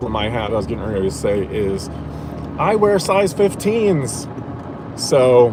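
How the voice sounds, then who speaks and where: A man with an American accent talks at a fairly slow pace with long, frequent pauses and very wide pitch swings. Noticeable background noise and audible room echo are present. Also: medium pitch for a man. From Indiana, US Midwest. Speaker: streamer. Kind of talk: casual chat. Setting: in a car. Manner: many fillers and restarts.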